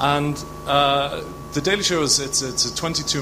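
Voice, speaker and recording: A man's medium-pitched voice carries audible room echo while noticeable background noise runs underneath. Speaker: audience member asking a question. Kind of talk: audience question.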